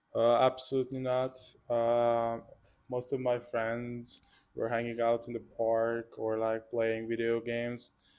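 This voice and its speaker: A man with a Hungarian accent speaks at a medium pitch and a fairly slow pace, his intonation monotone and flat. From Hungary, Budapest. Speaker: student athlete, water polo player. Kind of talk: interview.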